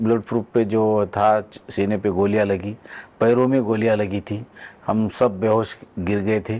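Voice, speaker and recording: His voice sits fairly low for a man. The man's tone is dark and mellow. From Maharashtra, Nanded district, rural. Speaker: border guard soldier. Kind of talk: interview. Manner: halting.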